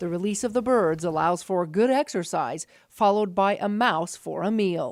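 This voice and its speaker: In a very clean recording with a silent background, a woman with an ordinary speaking voice talks at a moderate pace with ordinary pitch variation. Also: medium pitch for a woman. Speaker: TV news reporter. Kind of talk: TV news report narration.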